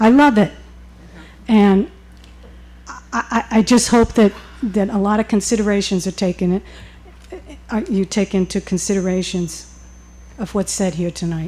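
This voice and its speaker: Using a dark, mellow tone at a medium pitch, a woman speaks at a moderate pace with ordinary pitch variation and long, frequent pauses. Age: 70s. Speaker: retiree resident speaking at public hearing. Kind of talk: public comment at town meeting. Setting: town board meeting.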